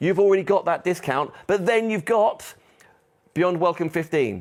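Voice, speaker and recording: A man speaks with vocal fry on a very clean recording against a silent background. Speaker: shopping channel presenter. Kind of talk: sales pitch. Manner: fast.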